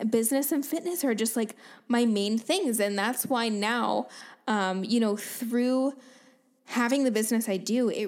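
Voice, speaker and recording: At a moderate pace, a woman with a fairly high pitch and ordinary pitch variation has an unremarkable speaking voice. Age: 20s. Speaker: podcast host and fitness coach. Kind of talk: casual solo monologue.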